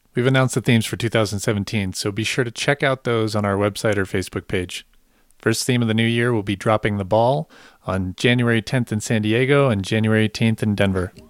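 A man with an unremarkable speaking voice talks at a fairly low pitch and fairly quick pace. The recording is very clean with a silent background and a dry, close sound with no echo. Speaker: podcast host. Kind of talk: scripted intro and outro. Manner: upbeat, conversational.

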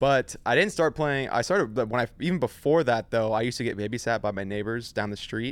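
In an American accent, a man with an unremarkable speaking voice talks at a fairly quick pace and medium pitch with ordinary pitch variation, on a very clean recording with a silent background. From US West Coast, San Diego area, California. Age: 20s. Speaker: professional esports player. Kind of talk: casual chat.

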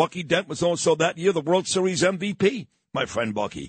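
At a moderate pace, a man with a high pitch and ordinary pitch variation speaks in a dry, close sound with no echo. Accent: New York. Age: 50s. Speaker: radio talk show host. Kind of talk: casual talk radio. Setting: studio. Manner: natural flow.

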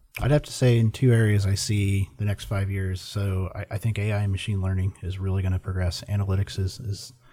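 A man with an American accent speaks at a very fast pace in a dark, mellow tone. His voice is somewhat breathy, with fairly even intonation. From Indiana. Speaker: software sales director. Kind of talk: casual chat.

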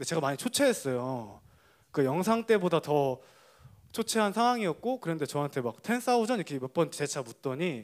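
Pitch swings very widely as a man speaks in a very clean recording with a silent background. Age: young. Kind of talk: testimony.

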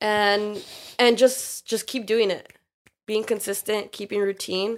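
A woman with an unremarkable speaking voice, medium pitch and moderate pace, in a very clean recording with a silent background. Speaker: personal trainer. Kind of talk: casual chat.

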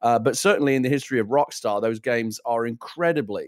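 Recorded very cleanly against a silent background, a man with a British accent talks at a fairly quick pace and medium pitch. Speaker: gaming show co-host. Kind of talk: casual chat. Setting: studio.

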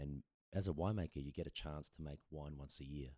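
A man with an Australian accent at a fairly quick pace, his very deep, low voice dark and mellow, the sound dry and close with no echo. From Adelaide, South Australia. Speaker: brewery founder and former winemaker. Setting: kitchen table podcast setup.

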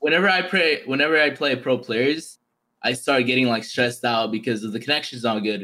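This man has a normal speaking voice, with medium pitch, ordinary pitch variation and a fairly quick pace. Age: 20s. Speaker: pro esports FIFA player. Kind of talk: casual chat.

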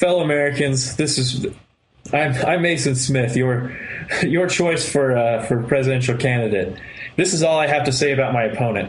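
A plain, everyday voice goes at a moderate pace with ordinary pitch variation. Its loudness stays very even. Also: man, medium pitch for a man. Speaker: podcast co-host. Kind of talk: casual chat.

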